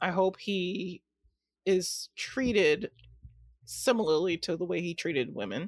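A woman with a fairly low pitch and vocal fry speaks at a fairly slow pace, using lively intonation and long, frequent pauses. The recording is very clean with a silent background, and the sound is dry and close with no echo. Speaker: podcast guest. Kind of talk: casual chat.

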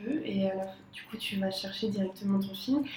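Amid noticeable background noise and audible room echo, a woman talks at a fairly quick pace with fairly even intonation. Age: 20s. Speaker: designer. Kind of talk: casual chat.

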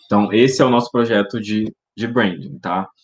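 A man's voice with fairly even intonation. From Paraná, Brazil. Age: 20s. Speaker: public relations professional, branding studio co-founder. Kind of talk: interview. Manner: hesitant, with frequent repetitions.

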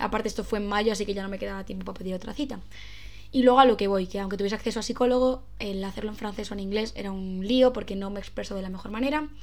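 With audible room echo, a woman talks at a very fast pace, her intonation fairly even and her pitch medium. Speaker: podcaster. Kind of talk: casual monologue. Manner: stumbling over words.

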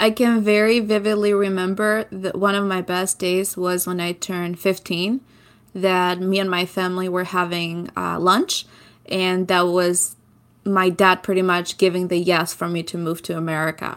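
A woman's medium-pitched voice at a moderate pace, monotone and flat in intonation, on a very clean recording with a silent background. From southern Albania. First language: Albanian. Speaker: podcaster. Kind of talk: interview.

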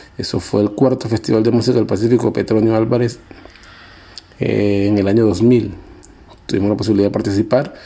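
A man at a fairly quick pace with long, frequent pauses, monotone, flat intonation and noticeable background noise. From Colombian Pacific coast (Guapi, Cauca). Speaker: musician. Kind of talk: interview narration about his life. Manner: halting, many fillers and repetitions.

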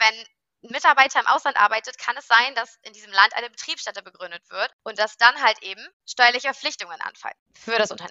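A woman with a high pitch talks at a very fast pace with ordinary pitch variation. Her loudness swings widely. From Rhineland, Germany (Cologne). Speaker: workation compliance startup founder. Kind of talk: interview. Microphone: unstable internet connection.

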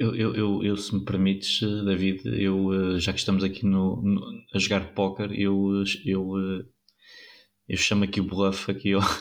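A man talks at a very slow pace in a fairly low voice, with monotone, flat intonation and very even loudness. The recording is very clean, with a silent background. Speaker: cycling pundit. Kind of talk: casual chat. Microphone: new microphone.

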